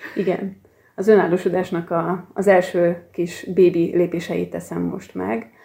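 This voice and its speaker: Speaking at a very slow pace, a woman with a fairly low pitch and a dark, mellow tone keeps her intonation monotone and flat, with vocal fry throughout. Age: 40s. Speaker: archivist and genealogist. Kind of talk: interview.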